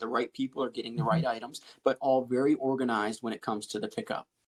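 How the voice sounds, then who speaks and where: Someone with an American accent speaks at a very fast pace in a dry, close recording with no echo. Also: man. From Pennsylvania, USA. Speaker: licensed auctioneer and realtor. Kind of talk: interview answer.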